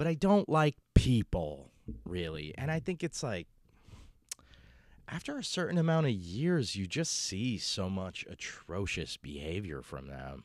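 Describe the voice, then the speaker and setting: On a very clean recording with a silent background, a man with a fairly low pitch talks fairly slowly, his voice making very wide pitch swings. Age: 30s. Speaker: comedian. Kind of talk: casual monologue. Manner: halting, many fillers.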